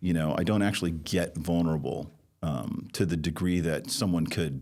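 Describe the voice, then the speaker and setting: A man speaks with vocal fry in a very deep, low pitch. His pitch variation is ordinary and his pace moderate. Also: very even loudness. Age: 60s. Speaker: recovery sponsor and community leader. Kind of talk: podcast interview, personal testimony. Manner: hesitant, many fillers and restarts.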